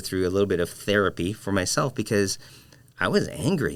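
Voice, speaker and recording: A man's fairly low voice with a Filipino accent, a fairly quick pace, and ordinary pitch variation. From Philippines, moved to Michigan at 11. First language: Filipino language. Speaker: designer and educator. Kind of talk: casual interview conversation. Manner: halting, many fillers and repeats.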